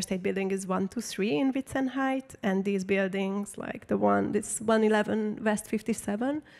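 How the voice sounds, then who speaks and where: With a Hungarian accent, a woman of medium pitch talks at a moderate pace with ordinary pitch variation and hardly any pauses. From Hungary. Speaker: artist and photographer. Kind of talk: public talk Q&A. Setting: stage with audience. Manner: casual, many fillers.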